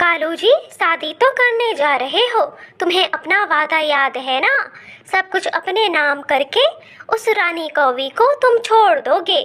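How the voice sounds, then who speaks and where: A cartoonish character voice from a woman, extremely high in pitch, at a fairly slow pace. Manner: sharp, demanding.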